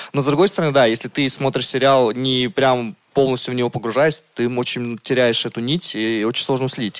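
A man's medium-pitched voice rushes along very fast, with ordinary pitch variation. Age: 30s. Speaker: podcast co-host. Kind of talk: casual chat.

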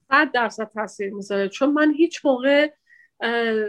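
In a very clean recording with a silent background, a woman speaks at a moderate pace with fairly even intonation, in an ordinary speaking voice. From Iran. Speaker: immigrant interviewee. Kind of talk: interview.

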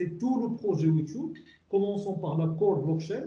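With lively intonation and a dark, mellow tone, a man talks at a fairly slow pace in a high pitch, and audible room echo surrounds his voice. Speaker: technology director. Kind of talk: interview.

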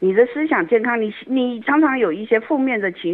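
A woman speaks with lively intonation. She has a plain, everyday voice. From Taiwan, Yilan. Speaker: community association director. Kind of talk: radio interview.

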